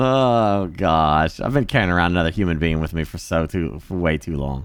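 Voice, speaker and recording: With a very deep, low pitch, a man talks at a moderate pace using lively intonation and an animated tone. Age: 40s. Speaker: livestreamer. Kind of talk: casual chat.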